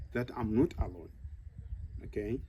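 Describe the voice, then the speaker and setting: The tone is dark and mellow. Vocal fry runs through the voice. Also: man. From Zimbabwe. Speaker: elephant manager. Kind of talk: interview monologue.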